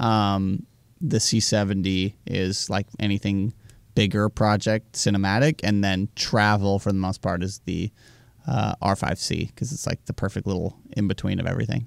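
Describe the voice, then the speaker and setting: This man talks at a moderate pace in an ordinary speaking voice, fairly low in pitch with ordinary pitch variation, and the recording is dry and close with no echo, very clean, and with a silent background. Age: 20s. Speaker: travel filmmaker. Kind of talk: casual chat.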